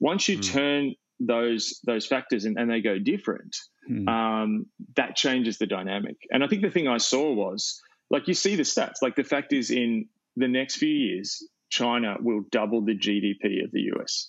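In an Australian accent, a man speaks at a moderate pace and medium pitch, with lively intonation. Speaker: pastor and author. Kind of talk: interview conversation.

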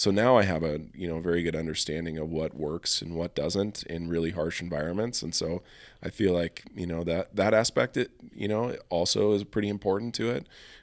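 A man with an American accent talks at a fairly quick pace in a very deep, low pitch. The recording is very clean, with a silent background. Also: ordinary pitch variation. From Montana, Helena. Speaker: elk hunter and creative agency owner. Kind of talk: casual chat. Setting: studio.

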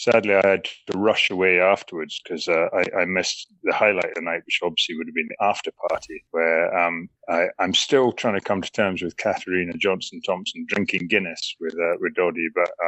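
Fairly quick speech from a man in a Scottish accent. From Scotland. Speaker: former rugby international, charity fundraiser. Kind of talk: interview. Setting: phone call.

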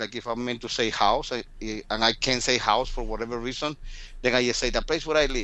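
A man talks at a fairly quick pace. His pitch is medium, his tone bright and sharp.

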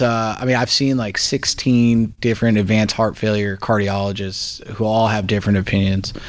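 Talking at a moderate pace with hardly any pauses, a man uses a fairly low pitch and monotone, flat intonation. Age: 30s. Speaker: jiu-jitsu practitioner. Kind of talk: interview. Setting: studio. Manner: casual, filler-heavy.

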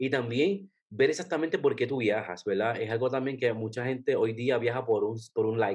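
With an unremarkable speaking voice, a man speaks at medium pitch and a moderate pace, using ordinary pitch variation and hardly any pauses. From Puerto Rico. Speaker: travel blogger. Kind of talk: casual interview.

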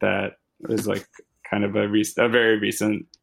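There is vocal fry as a man talks at a fairly low pitch and moderate pace, his intonation monotone and flat. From Louisville, Kentucky. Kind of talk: casual chat.

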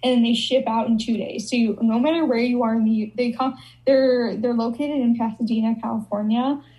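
A fairly high-pitched woman with an American accent, flat and monotone at a fairly quick pace, amid noticeable background noise. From Chicago. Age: 20s. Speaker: content creator. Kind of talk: casual chat.

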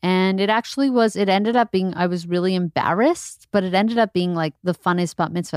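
A woman with an ordinary speaking voice talks at a fairly quick pace and medium pitch with ordinary pitch variation, recorded very cleanly against a silent background with a dry, close sound and no echo. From Montreal, Canada. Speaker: comedian. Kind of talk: casual chat.

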